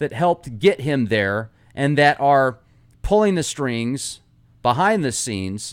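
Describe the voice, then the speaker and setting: Speaking at a very slow pace, a man with a fairly high pitch makes very wide pitch swings in a very clean recording with a silent background. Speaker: podcast host. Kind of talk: casual podcast commentary. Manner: stumbling over words.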